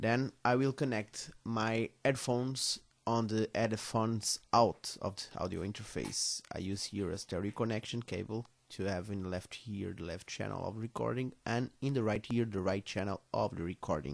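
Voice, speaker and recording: A man's fairly low voice with a Portuguese accent, hardly any pauses, and a quiet background. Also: ordinary pitch variation. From Portugal, Coimbra. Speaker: music tutorial maker. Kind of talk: tutorial. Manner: careful, deliberate; halting.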